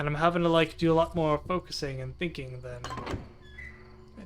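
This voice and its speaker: A man talks at a moderate pace. Music plays quietly in the background. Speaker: gameplay streamer. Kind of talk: let's play commentary. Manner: lowered voice, quieter; casual, halting.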